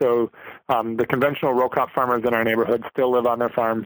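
A man speaks with an Upper Midwest accent. His intonation is monotone and flat. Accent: Upper Midwest American. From Minnesota, St. Cloud. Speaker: vegetable farmer. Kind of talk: interview. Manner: halting, with many fillers.

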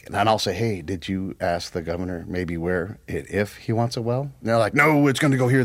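A man with an ordinary speaking voice, pitched fairly low. He talks at a fairly quick pace with lively intonation. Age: 40s. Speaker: former military counterintelligence agent. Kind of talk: casual chat.

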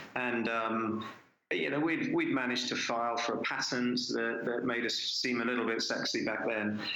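A man's medium-pitched, monotone voice with flat intonation, very even loudness and a moderate pace, amid noticeable background noise and audible room echo. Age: 50s. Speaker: tech entrepreneur. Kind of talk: interview.

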